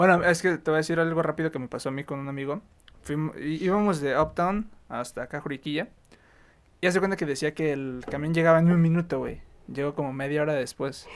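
At a fairly quick pace, a man with a fairly high pitch talks with fairly even intonation. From Chihuahua, northern Mexico. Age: 20s. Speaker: university student. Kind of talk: casual chat.

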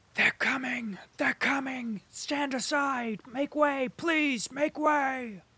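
A put-on character voice, female-sounding and high-pitched, at a very slow pace with hardly any pauses. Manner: urgent, pushing past others.

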